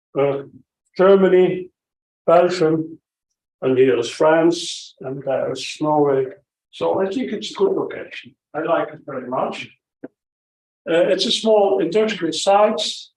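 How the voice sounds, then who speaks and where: A man's high voice at a fairly slow pace, with ordinary pitch variation, big swings in loudness and long, frequent pauses. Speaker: physician and company head. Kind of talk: conference talk. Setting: conference hall without microphone.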